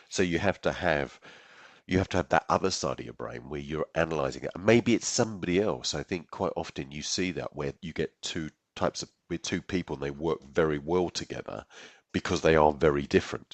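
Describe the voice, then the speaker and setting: In an English accent, a man speaks at a very deep, low pitch with vocal fry, ordinary pitch variation, a fairly quick pace and big swings in loudness. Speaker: software executive, podcast co-host. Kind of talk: casual chat.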